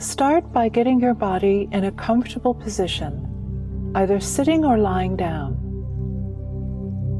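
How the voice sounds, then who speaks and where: A woman speaks with music in the background. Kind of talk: guided meditation visualization. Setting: background music. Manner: gentle, soft-spoken.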